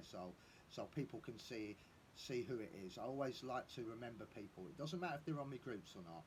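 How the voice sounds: His slightly mellow tone carries ordinary pitch variation as the man speaks.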